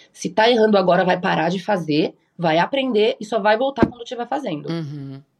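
Lively in intonation, a woman talks at a fairly quick pace in a normal speaking voice at medium pitch. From Japan (raised there from early childhood). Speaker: cannabis chef. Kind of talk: casual interview chat.

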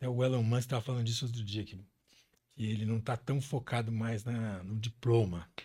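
Speaking at a fairly quick pace, a man uses a medium-pitched, somewhat breathy voice with a dark, mellow tone and fairly even intonation. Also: very clean recording, silent background. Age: 60s. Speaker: business executive. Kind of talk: interview. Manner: halting.

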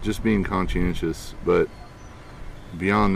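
At a slow pace, the voice shows vocal fry and fairly even intonation. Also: man.

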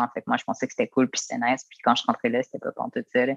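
A Quebec accent in a dry, close sound with no echo. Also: man. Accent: Québécois French. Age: 20s. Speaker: former youth protection resident. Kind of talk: interview testimony.

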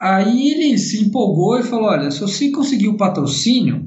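Moderate pace with audible room echo. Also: man. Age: 40s. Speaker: racing driver and driving instructor. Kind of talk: casual interview.

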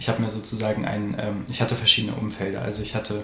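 A man of medium pitch, with audible room echo and noticeable background noise. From Germany, Göttingen area. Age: 20s. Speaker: interview guest. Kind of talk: personal interview. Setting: studio, in person.

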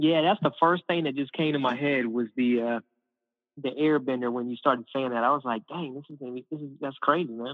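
A man with an American accent in a normal speaking voice, medium-pitched, fairly even in intonation but with big swings in loudness, at a fairly quick pace. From US, mostly North Carolina and Michigan. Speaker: actor. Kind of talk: casual chat. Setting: phone call.

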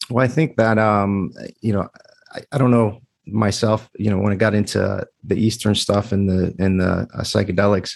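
A man speaks at a moderate pace in a fairly low voice, his intonation fairly even. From US, child of Greek immigrants. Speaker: podcaster. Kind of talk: casual interview. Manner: hesitant, many fillers.

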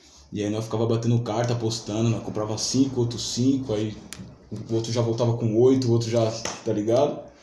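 A voice with monotone, flat intonation moves at a fairly quick pace through audible room echo. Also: man, medium pitch for a man. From Brazil, São Paulo south zone (Vila Saúde). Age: 20s. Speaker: rapper and beatmaker. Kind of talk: casual chat.

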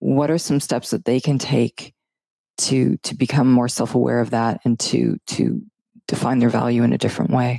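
A woman at a moderate pace, the sound dry and close with no echo. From Canada. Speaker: podcast co-host. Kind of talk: casual interview. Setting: studio.

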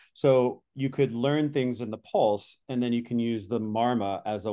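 Here is a man talking. He has a normal speaking voice. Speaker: podcast host. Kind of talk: casual podcast conversation.

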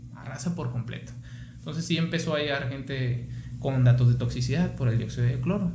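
A man talks at a medium pitch. Noticeable background noise and audible room echo surround him. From Mexico, Sonora (Guaymas). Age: 30s. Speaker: physician. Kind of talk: casual interview.

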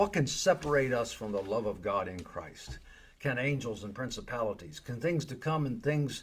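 Using a put-on character voice, a man speaks loud and booming at a medium pitch and a moderate pace, with very wide pitch swings. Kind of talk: sermon, oratory. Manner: loud, preacher-style, booming.

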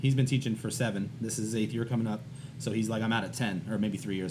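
A man talks very fast at medium pitch with ordinary pitch variation. His voice is somewhat breathy, and audible room echo surrounds it. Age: 30s. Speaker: art teacher. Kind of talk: casual chat.

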